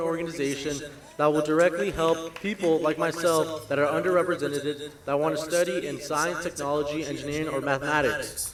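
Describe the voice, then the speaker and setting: Against noticeable background noise, a man with a fairly high pitch speaks in a flat monotone at a fairly quick pace, with hardly any pauses. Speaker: scholarship recipient. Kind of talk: prepared speech.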